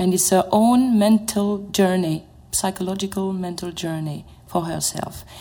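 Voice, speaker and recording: A dark, mellow tone, somewhat breathy, carries a French accent with ordinary pitch variation. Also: woman. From France. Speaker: opera mezzo-soprano. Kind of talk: panel discussion. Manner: halting.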